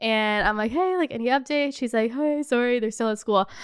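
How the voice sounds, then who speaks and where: A woman speaks with a high pitch and an animated tone. Her pace is fairly quick, and her pitch varies in an ordinary way. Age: 20s. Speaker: lifestyle podcaster and vlogger. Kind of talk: casual storytelling monologue.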